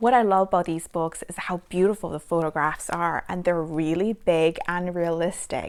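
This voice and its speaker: A woman talks at a moderate pace with a fairly low pitch. Her tone is warm and enthusiastic. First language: Chinese. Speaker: parenting vlogger. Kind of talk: casual book review. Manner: warm, enthusiastic.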